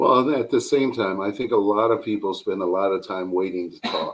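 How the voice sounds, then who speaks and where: Here is a man with a plain, everyday voice and a fairly low pitch. He keeps a moderate pace. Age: 40s. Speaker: therapist. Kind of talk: casual chat.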